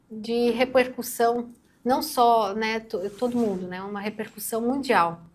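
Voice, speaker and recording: A quiet woman's voice, fairly high in pitch, at a very slow pace with fairly even intonation. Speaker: news commentator co-host. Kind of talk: news discussion on a channel. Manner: speaking quietly. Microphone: too quiet.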